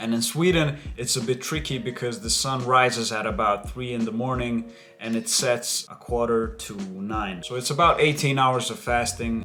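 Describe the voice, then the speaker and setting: A man with a normal speaking voice talks at medium pitch and a moderate pace, with ordinary pitch variation and hardly any pauses. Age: 20s. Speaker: MMA fighter and personal trainer. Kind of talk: casual vlog talk to camera.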